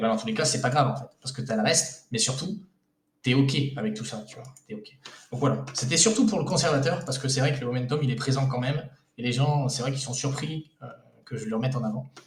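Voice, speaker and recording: A man's very fast delivery with big swings in loudness. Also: medium pitch for a man, ordinary pitch variation. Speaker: investment coach and video creator. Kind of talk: casual tutorial. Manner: hesitant, many fillers.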